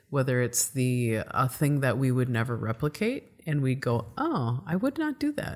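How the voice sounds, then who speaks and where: A woman with a Midwestern US accent speaks at a moderate pace in a very deep, low voice. The recording is very clean, with a silent background. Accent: Midwest accent, accentuated O's. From US Midwest. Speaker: podcast host. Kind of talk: interview conversation.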